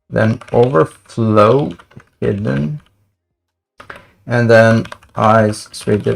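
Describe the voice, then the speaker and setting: Pausing long and often, a man with a non-native accent speaks at a very slow pace, his pitch medium and his intonation lively. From Sweden. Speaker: front-end developer. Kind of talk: casual livestream coding commentary.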